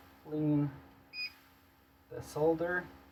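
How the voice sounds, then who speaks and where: A man talks against noticeable background noise. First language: not English. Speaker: electronics repair youtuber. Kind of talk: tutorial. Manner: halting.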